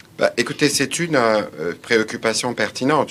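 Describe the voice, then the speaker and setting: In a plain, everyday voice, a man talks at a fairly quick pace with ordinary pitch variation. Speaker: government official. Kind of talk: press briefing. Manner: formal.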